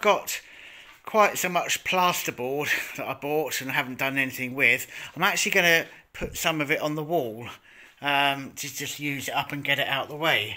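A man with a bright, sharp tone speaks at a moderate pace, his pitch varying in an ordinary way. The background is quiet. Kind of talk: casual vlog chat. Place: workshop. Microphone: phone near.

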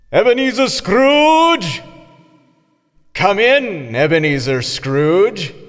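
Putting on a character voice, a man speaks very slowly at a high pitch, swinging widely up and down and leaving long, frequent pauses.

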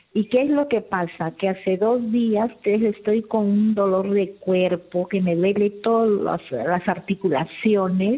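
A woman of medium pitch speaks at a very slow pace with hardly any pauses. Her loudness stays very even, and her pitch varies in an ordinary way. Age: 60s. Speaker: caller. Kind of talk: call-in question. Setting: phone call.

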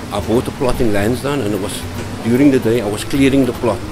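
A man talks with ordinary pitch variation while music plays clearly in the background. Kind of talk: storytelling interview answer.

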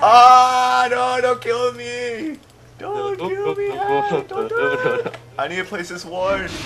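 Delivered at a very slow pace, the raised, projected voice makes very wide pitch swings while noticeable background noise runs underneath. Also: man, extremely high pitch for a man. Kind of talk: live gameplay commentary with friends.

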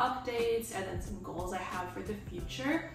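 Over clear music in the background, a woman speaks with ordinary pitch variation and audible room echo. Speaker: video creator. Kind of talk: casual vlog chat. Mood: relaxed, chatty. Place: home room. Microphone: camera far.

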